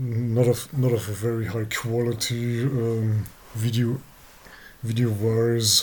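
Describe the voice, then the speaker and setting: A medium-pitched man with a non-native accent, very slow and flat in monotone intonation. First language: not English. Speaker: abuse survivor vlogger. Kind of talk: personal testimony. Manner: halting, many fillers and repeats.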